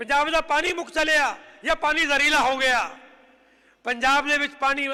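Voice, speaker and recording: A man's extremely high, bright and sharp voice, raised and projected, with fairly even intonation. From Punjab, India. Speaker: head of a farming and environment group. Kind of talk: speech to an audience. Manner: impassioned, repetitive.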